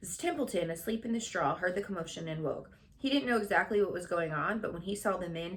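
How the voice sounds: The passage comes across in a natural reading voice.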